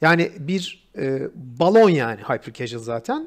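A man talks at a high pitch. The background is quiet. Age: 40s. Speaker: game designer; podcast guest or host. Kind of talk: casual chat. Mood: critical, reflective. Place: home room. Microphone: video call.

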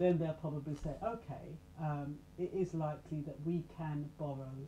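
A quiet, somewhat breathy woman with a very deep, low pitch and a dark, mellow tone, fairly slow and fairly even in intonation, over light background noise. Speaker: self-help channel host and radio presenter. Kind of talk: casual talk to camera. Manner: low, quiet voice. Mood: calm, explanatory. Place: home room. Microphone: webcam.

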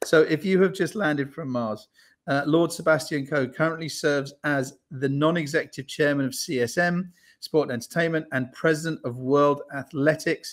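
A man talks at a moderate pace with fairly even intonation. The background is quiet. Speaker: event host. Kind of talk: introduction of a guest. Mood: cheerful, smiling. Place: home room.

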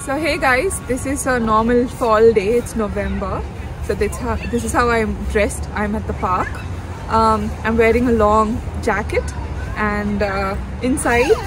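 Music plays behind a woman speaking at a fairly slow pace. The sound is dry, with no echo. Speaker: vlogger advising students. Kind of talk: casual vlog chat. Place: forest. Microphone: camera far.

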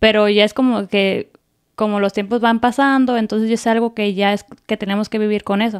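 Against a quiet background, a woman speaks at a fairly quick pace and fairly high pitch with monotone, flat intonation. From Mexico (Apatzingán, Michoacán); Michoacán, Mexico. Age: 20s. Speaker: content creator and homemaker; content creator. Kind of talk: interview. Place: studio. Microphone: studio mic.

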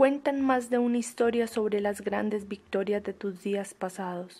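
The woman's medium-pitched voice has a dark, mellow tone. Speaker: audiobook narrator. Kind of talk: poetry reading.

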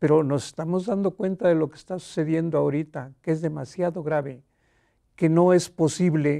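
The voice has a dark, mellow tone. The background is quiet. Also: man. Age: 80s+. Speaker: elderly writer. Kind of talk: interview. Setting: studio. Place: studio. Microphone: lapel.

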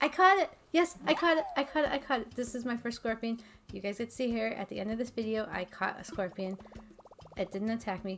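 Noticeable background noise sits behind this woman. She speaks very fast at a fairly high pitch. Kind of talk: casual talk to camera.

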